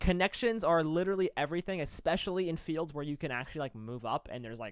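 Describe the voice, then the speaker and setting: Over a silent background on a very clean recording, a man speaks at a very fast pace in an animated tone with lively intonation. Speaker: college esports caster and show co-host. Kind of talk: casual debate chat.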